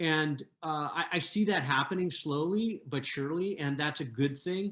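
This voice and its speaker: Fairly high for a man, his voice moves with ordinary pitch variation at a moderate pace. The recording is very clean, with a silent background. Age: 60s. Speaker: panelist on food systems. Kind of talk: panel discussion. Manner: halting, many fillers and repetitions.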